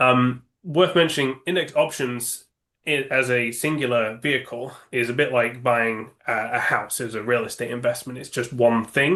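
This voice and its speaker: A man speaks at a moderate pace and a medium pitch. His tone is bright and sharp, with ordinary pitch variation. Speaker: index options sales executive. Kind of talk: interview. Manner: halting, many fillers.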